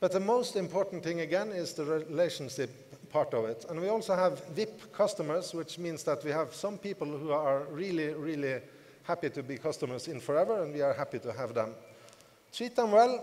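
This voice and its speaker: This man talks at a fairly quick pace. His pitch is fairly high. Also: lively intonation. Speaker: network marketing team leader. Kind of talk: motivational conference speech. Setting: stage with audience.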